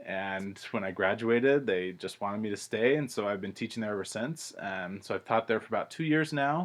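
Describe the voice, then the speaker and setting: Lively in intonation, a man with an American accent talks at a fairly quick pace in a fairly low pitch. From California. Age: 20s. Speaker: English as a second language teacher. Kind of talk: self-introduction monologue. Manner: casual, frequent filler words.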